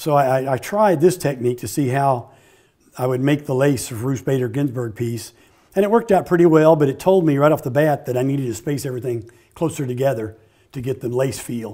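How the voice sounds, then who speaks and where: With a dark, mellow tone and ordinary pitch variation, a man talks at a very fast pace over a quiet background. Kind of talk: interview answer. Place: workshop. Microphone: lapel.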